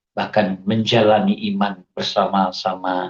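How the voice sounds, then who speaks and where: A man speaks with lively intonation. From Indonesia, Aceh. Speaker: religious convert giving testimony. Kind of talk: testimony.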